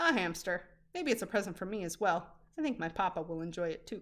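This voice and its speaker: At a very fast pace, a woman performs a put-on character voice. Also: medium pitch for a woman. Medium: read story.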